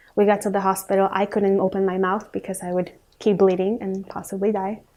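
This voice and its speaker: With a Spanish accent, a woman talks fairly quickly in a medium-pitched, dark, mellow voice and flat, monotone intonation. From Ecuador, moved to US at age 9. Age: 20s. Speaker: student sharing personal story. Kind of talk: personal testimony. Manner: hesitant, many fillers.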